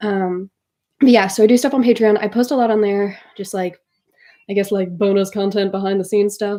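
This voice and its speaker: Speaking at a fairly quick pace, a woman with medium pitch has a dark, mellow tone and fairly even intonation. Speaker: artist streaming live. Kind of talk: casual live stream chat. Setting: live stream from computer. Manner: fast.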